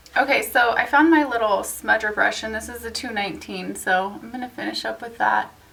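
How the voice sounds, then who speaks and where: Talking at a fairly quick pace, a woman's voice shows big swings in loudness over noticeable background noise. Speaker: beauty vlogger. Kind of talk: tutorial. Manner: casual, chatty.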